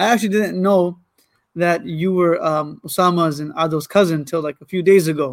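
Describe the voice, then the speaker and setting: With a Michigan accent, a man talks at a fairly quick pace in a high pitch. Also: ordinary pitch variation. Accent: Michigan American English. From US Midwest (Ann Arbor, Michigan). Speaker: Islamic scholar. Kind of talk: religious talk on a podcast.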